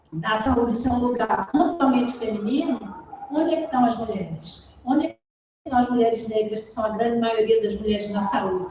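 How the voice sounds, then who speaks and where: This woman has a fairly high pitch, a dark, mellow tone and ordinary pitch variation. She speaks at a fairly quick pace with big swings in loudness. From Pernambuco, Brazil. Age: middle-aged. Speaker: public health physician. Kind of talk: talk in a panel discussion.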